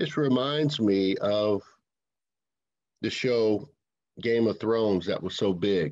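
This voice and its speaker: A man speaks with a fairly low pitch and ordinary pitch variation at a very slow pace. Long, frequent pauses break his speech against a quiet background. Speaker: minister, sermon speaker. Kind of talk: sermon delivered to a congregation.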